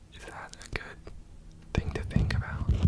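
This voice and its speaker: Relaxed whispering amid noticeable background noise. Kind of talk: ASMR mic triggers, relaxed rambling to camera. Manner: soft-spoken, relaxed, casual.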